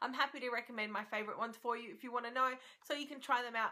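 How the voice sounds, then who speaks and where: With an Australian accent, a woman talks at a very fast pace in a fairly high pitch. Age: 30s. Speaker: beauty vlogger. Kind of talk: product review. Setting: at home. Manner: animated.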